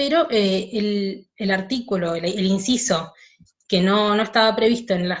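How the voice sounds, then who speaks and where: Somewhat breathy, the woman speaks at a fairly high pitch. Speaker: law teacher. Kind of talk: online lecture.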